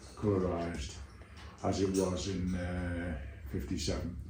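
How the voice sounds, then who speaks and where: A man with a Liverpool accent speaks in a very deep, low pitch. Noticeable background noise and audible room echo surround him. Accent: Liverpool (Scouse). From Liverpool, England. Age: 80s+. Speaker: Beatles-era eyewitness and author. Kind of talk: interview. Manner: hesitant, with fillers.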